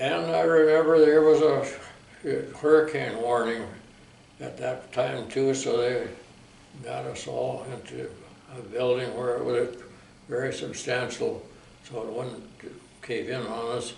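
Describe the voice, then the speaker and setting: A man's medium-pitched voice at a fairly slow pace, with ordinary pitch variation, long and frequent pauses, big swings in loudness, audible room echo and noticeable background noise. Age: 90s. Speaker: war veteran. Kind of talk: oral history interview.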